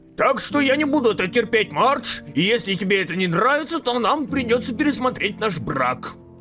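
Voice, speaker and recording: A man does a put-on character voice, high-pitched and fairly quick, with clear music playing in the background. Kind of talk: comic overacting. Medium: fan dub. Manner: indignant, shouting.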